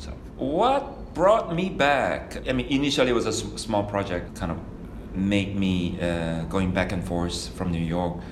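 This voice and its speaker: A man with a Korean accent and a fairly low voice, lively intonation and a fairly slow pace, amid noticeable background noise. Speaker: architect. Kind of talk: reflective interview monologue. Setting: studio. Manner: halting with many fillers.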